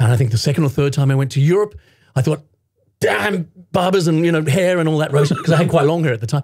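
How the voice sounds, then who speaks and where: The speech runs at a very fast pace with very even loudness. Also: man, fairly high pitch for a man, ordinary pitch variation. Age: 50s. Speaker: voice actor. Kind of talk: interview answer. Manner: energetic, upbeat.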